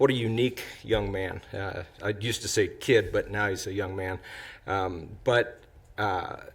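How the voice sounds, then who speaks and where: Fairly even intonation and a somewhat breathy quality mark this fairly slow delivery. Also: man, fairly low pitch for a man. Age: 60s. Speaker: city council member. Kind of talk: council meeting remarks. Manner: halting.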